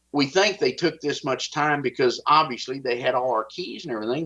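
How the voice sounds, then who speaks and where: A man speaks with a strong Texas accent. His pitch is fairly high and his pace fairly quick. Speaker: whistleblower. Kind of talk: interview.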